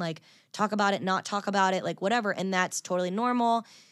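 A woman's normal speaking voice at medium pitch, with ordinary pitch variation, in a very clean recording with a silent background. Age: 30s. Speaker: country singer. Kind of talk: casual chat.

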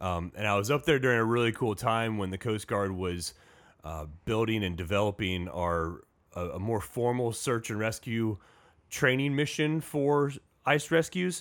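A man with an American accent speaks in a normal speaking voice at medium pitch. His pace is moderate, and the recording is very clean with a silent background. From US Midwest, Indiana. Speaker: Coast Guard station commander. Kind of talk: casual interview. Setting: studio.

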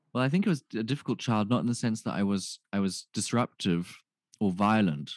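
A man's plain, everyday voice at a fairly quick pace, with ordinary pitch variation and a dry, close sound with no echo. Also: quiet background. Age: 20s. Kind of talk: casual chat.

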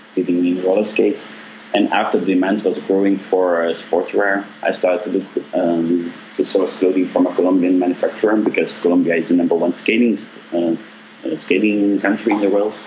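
Against noticeable background noise, a man speaks at a moderate pace in a fairly low pitch, his loudness very even and his intonation monotone and flat. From Belgium. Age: 30s. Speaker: apparel manufacturer CEO. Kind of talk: interview.

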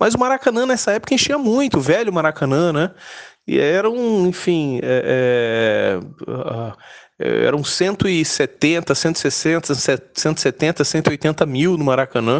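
This man's voice sits fairly high and rises and falls in very wide swings. He speaks at a very slow pace. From Brazil, Rio de Janeiro. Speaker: football fan. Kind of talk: personal storytelling. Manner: halting.

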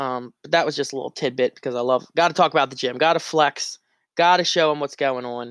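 With an American accent, a man talks at a very fast pace and a fairly high pitch, recorded dry and close with no echo against a quiet background. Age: 20s. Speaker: podcast host. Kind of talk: casual solo monologue. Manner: animated.

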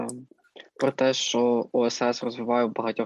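An ordinary speaking voice comes at a fairly slow pace, the sound dry and close with no echo. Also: man. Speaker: student podcast co-host. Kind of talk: casual interview. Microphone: sound problems.

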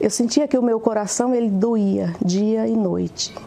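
Amid noticeable background noise, a woman with a fairly high pitch speaks at a fairly slow pace. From Pernambuco, Brazil. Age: 50s. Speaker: business administrator giving church testimony. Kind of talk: testimony.

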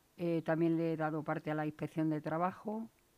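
A dark, mellow tone in an Extremaduran accent at a moderate pace. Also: woman. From Extremadura, Spain (Valle del Jerte). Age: 50s. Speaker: laid-off retail worker. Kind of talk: radio interview. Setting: studio.

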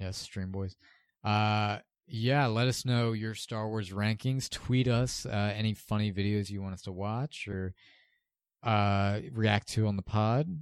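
On a very clean recording with a silent background, a man speaks slowly, though only fairly so, with a fairly low pitch. His intonation is fairly even and his speaking voice is unremarkable. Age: 20s. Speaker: podcast host. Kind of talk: casual chat.

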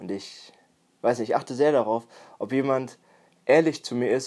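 Music plays in the background while the speech moves at a moderate pace with ordinary pitch variation. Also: man. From Germany, Münsterland (Warendorf). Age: 20s. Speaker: personal development podcaster. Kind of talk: solo podcast monologue.

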